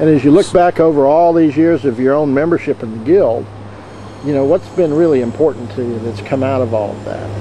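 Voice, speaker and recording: Over light background noise, a man with a plain, everyday voice and a fairly high pitch talks at a fairly quick pace with ordinary pitch variation, the sound dry with no echo. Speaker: interviewer. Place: open country. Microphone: phone near.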